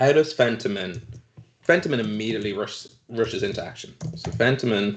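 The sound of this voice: This is an unforced reading voice. Nothing more stands out.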